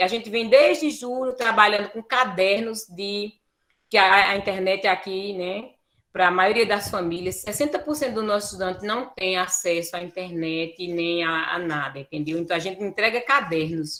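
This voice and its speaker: A woman's unremarkable speaking voice at medium pitch, moderate pace, and lively intonation. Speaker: teacher and quilombola educator. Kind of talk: lecture presentation.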